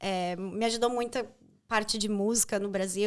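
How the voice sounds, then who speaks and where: A woman speaks at a fairly slow pace. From Brazil. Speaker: journalist and actress. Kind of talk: interview conversation.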